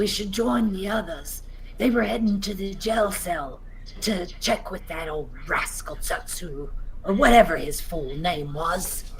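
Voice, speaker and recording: Over clear background noise, a female-sounding voice does a put-on character voice at medium pitch and a fairly slow pace. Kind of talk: fantasy roleplay speech. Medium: actual play. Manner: measured, slightly theatrical.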